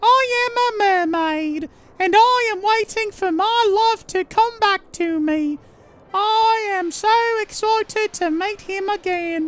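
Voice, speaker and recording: In a put-on character voice, a female-sounding speaker talks at a fairly slow pace with extremely high pitch. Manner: bad, cheesy voice acting.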